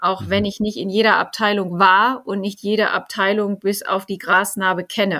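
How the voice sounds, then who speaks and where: On a very clean recording with a silent background, a woman speaks at medium pitch in a bright, sharp tone with monotone, flat intonation and hardly any pauses. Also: moderate pace. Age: 40s. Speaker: finance executive. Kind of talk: interview. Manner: hesitant with frequent fillers.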